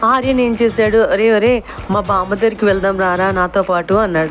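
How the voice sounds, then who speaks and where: With music in the background, a woman speaks at a fairly high pitch, her pitch varying in an ordinary way. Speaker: voiceover artist. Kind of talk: children's story told to a child. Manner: warm, affectionate. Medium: read story.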